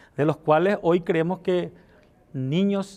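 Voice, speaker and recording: A man with a high pitch talks at a fairly slow pace, his pitch varying in an ordinary way. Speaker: politician. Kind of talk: interview. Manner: slight stutter.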